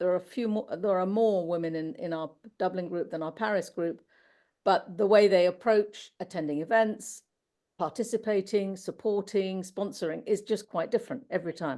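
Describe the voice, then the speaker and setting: A woman speaks at a moderate pace with a British accent. Her medium-pitched voice has a dark, mellow tone. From UK. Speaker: finance professional, panelist. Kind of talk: panel discussion. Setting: webinar.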